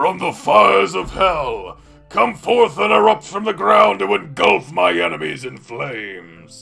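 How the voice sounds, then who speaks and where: A man puts on a character voice at a medium pitch, talking at a fairly slow pace. Faint music plays in the background. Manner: shouted, dramatic incantation.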